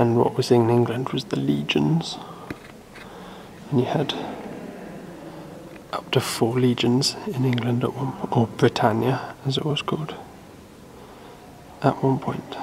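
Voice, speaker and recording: The pace is fairly slow. Noticeable background noise runs underneath. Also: man. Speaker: travel vlogger. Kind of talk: casual vlog chat. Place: church. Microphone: phone near.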